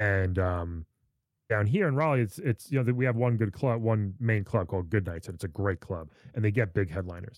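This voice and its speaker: With an American accent, a man has an unremarkable speaking voice and a fairly low pitch with ordinary pitch variation. He talks at a fairly quick pace in a very clean recording with a silent background. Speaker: comedian. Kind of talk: casual chat.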